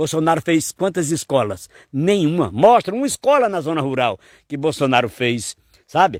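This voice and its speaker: In a very clean recording with a silent background and a dry, close sound with no echo, a man with a fairly high pitch speaks at a moderate pace with lively intonation and an animated tone. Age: 60s. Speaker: poet and folk singer. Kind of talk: political commentary.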